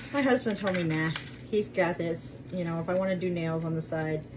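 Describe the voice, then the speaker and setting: A woman's fairly low-pitched, fairly quick speech over noticeable background noise. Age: 50s. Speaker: lifestyle vlogger doing product review. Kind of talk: casual cooking vlog chat. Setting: home kitchen. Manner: chatty, rambling with fillers.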